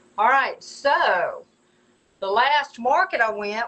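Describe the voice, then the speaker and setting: With a Southern US accent, a woman speaks using lively intonation. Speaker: potter selling her work. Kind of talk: live stream product showcase. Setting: live video stream. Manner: stumbling, repeats words; chatty, casual.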